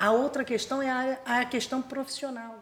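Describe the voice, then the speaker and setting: This woman talks with fairly even intonation. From Rio de Janeiro state, Brazil (Búzios). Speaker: missionary and theological school director. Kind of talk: testimony.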